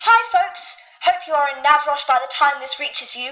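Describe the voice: A woman's high-pitched, put-on character voice at a fairly quick pace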